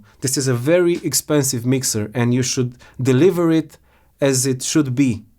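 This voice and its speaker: The recording is very clean, with a silent background. A man speaks at a moderate pace in a fairly high pitch with ordinary pitch variation. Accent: non-native. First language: not English. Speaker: product reviewer. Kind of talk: product complaint review. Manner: halting.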